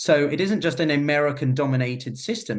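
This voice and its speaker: Somewhat breathy and fairly high-pitched, a man speaks with lively intonation. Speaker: geopolitics podcaster and consultant. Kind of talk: interview discussion.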